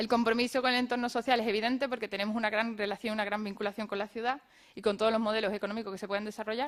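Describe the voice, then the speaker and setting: A woman talks at a very fast pace with monotone, flat intonation. Her pitch is fairly high. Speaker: craft brewery cooperative representative. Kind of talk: round-table presentation. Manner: halting.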